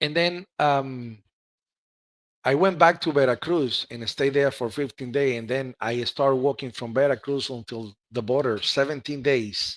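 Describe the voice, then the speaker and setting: A man with a Spanish accent, a medium pitch, ordinary pitch variation and a moderate pace, on a very clean recording with a silent background and a dry, close sound with no echo. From Cuba. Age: 40s. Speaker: ham radio operator. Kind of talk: interview. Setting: live stream.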